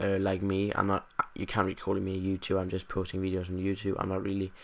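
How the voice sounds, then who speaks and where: A man with a Danish accent speaks in a fairly low pitch. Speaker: gaming youtuber. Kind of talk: casual vlog monologue. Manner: halting, many fillers. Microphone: USB condenser mic, new today.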